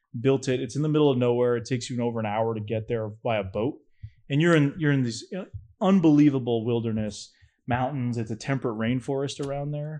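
A man talks in an ordinary speaking voice at a medium pitch, with an American accent. His pace is fairly quick. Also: quiet background. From New Hampshire, US. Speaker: filmmaker and cryptid researcher. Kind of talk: casual chat.

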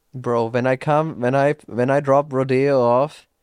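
A man speaks at a very slow pace in a medium pitch. The sound is dry and close, with no echo. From Austria. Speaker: podcast host. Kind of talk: casual chat podcast.

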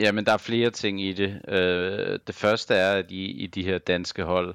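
A man's flat, monotone voice at a fairly slow pace. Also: dry, close sound with no echo. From Denmark, Copenhagen. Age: 30s. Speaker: professional esports player. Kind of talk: casual interview. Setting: online call.

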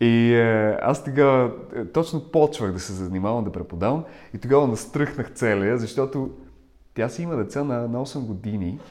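Here a man with a Russian accent speaks at a medium pitch. His pace is moderate, with ordinary pitch variation. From Ukraine. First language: Russian (speaking Bulgarian). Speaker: voice coach. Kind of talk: interview.

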